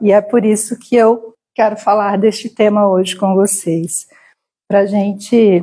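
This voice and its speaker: A woman with a dark, mellow tone and medium pitch speaks fairly slowly in a monotone, flat intonation, somewhat breathy and at very even loudness. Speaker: spiritist lecturer. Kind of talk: lecture. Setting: spiritist center hall with live audience and stream.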